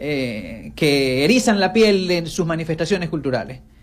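With music in the background, a man with a fairly high pitch and lively intonation speaks at a fairly slow pace. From Venezuela, Zulia. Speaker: journalist and regional government official. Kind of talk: radio interview.

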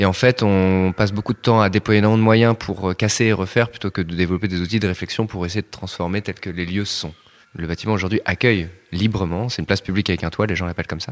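At a very fast pace, a man with fairly low pitch and fairly even intonation speaks in a dry, close sound with no echo on a very clean recording with a silent background. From Rennes, Brittany. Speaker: architect. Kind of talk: interview. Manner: hesitant, many fillers.

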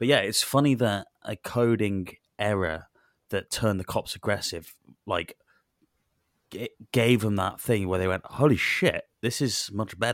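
With a Welsh accent, a man speaks at a fairly slow pace and a fairly low pitch, leaving long, frequent pauses, in a very clean recording with a silent background and a dry, close sound with no echo. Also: ordinary pitch variation. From Wales. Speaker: podcast co-host. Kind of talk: casual banter about video games. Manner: crude, joking, sweary.

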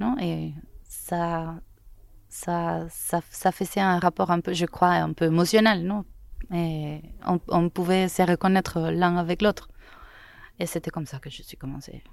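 Someone with a Spanish accent speaks at a very slow pace with fairly even intonation and long, frequent pauses. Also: woman, fairly low pitch for a woman. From Venezuela, Caracas. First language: Spanish (speaking French). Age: young. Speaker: photojournalist. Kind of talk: interview. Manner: halting.

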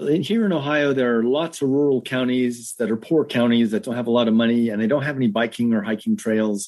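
Talking at a very fast pace with hardly any pauses, a man keeps a medium pitch and ordinary pitch variation. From US West Coast, Los Angeles suburbs. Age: 50s. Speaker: radio technician and amateur runner. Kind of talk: casual interview.

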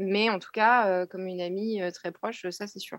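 A woman with a normal speaking voice talks at a moderate pace, with a medium pitch and ordinary pitch variation. The sound is dry and close, with no echo. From Burgundy, France. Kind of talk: testimony.

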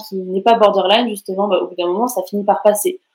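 A monotone, flat intonation runs through speech with a dark, mellow tone. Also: woman. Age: 20s. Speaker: psychology student and mental health content creator. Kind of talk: personal testimony.

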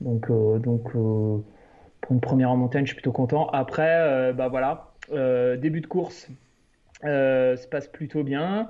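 Music plays in the background as a man talks at a fairly slow pace. His pitch varies in an ordinary way. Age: 30s. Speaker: illustrator and trail runner. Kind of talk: casual interview.

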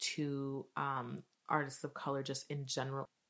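A woman with a Canadian accent speaks in a very deep, low pitch. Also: very clean recording, silent background. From Montreal, Canada (born in Nigeria). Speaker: experimental musician. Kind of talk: interview conversation. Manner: casual, filler-heavy.

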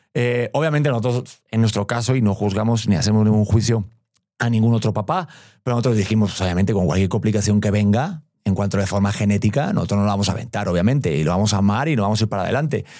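A man talks at a very fast pace in a fairly low pitch. The recording is very clean, with a silent background. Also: ordinary pitch variation. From Spain, Madrid. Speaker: expecting father. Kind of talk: casual chat.

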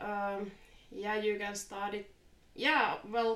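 Speaking very slowly, a woman has a Finnish accent and a medium pitch. Audible room echo surrounds her voice. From Finland. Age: 30s. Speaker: fly fisher. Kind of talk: casual interview.

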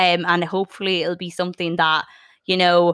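With a northwestern Irish accent, the speaker moves at a moderate pace in a dry, close sound with no echo. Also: woman. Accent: Irish (north-west). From Ireland, County Sligo. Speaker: podcast host. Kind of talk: casual chat.

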